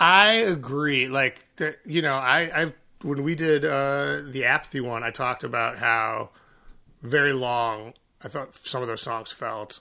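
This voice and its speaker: This man's tone is bright and sharp, at medium pitch. His pace is fairly slow, with ordinary pitch variation. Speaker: singer and songwriter in a band. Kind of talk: casual chat. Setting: remote recording.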